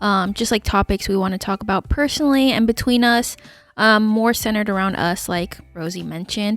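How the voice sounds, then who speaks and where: In an ordinary speaking voice, a woman talks at a moderate pace with ordinary pitch variation, and the sound is dry and close with no echo. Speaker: podcast co-host. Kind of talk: casual chat.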